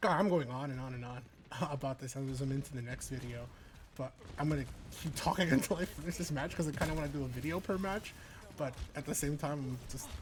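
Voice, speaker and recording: With an American accent, the speaker goes at a very fast pace broken by long, frequent pauses. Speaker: gaming vlogger and esports commentator. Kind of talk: casual gameplay vlog talk. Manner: animated.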